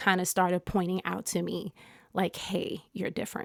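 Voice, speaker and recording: A woman talks with an American accent. The sound is dry and close, with no echo. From US, New Jersey (Englewood). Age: 40s. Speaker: yoga teacher and podcast host. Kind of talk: solo podcast monologue. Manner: casual, many filler words.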